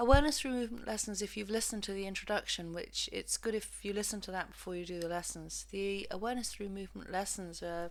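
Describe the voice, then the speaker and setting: A woman with an English accent rushes along at a very fast pace with hardly any pauses. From England. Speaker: physiotherapist and movement practitioner. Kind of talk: lesson introduction. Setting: home recording.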